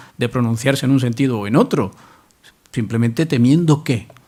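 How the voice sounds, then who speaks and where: There's an unremarkable speaking voice from a man at a medium pitch. He moves at a fairly quick pace with ordinary pitch variation. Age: middle-aged. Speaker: university professor, literary specialist. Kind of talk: public talk Q&A answer.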